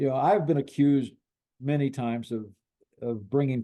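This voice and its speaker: With a Midwestern US accent, a man talks at a moderate pace in a dark, mellow tone with ordinary pitch variation. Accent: US Midwest. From Illinois. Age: 80s+. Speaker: sportswriter and author. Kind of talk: interview. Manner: halting, many repetitions.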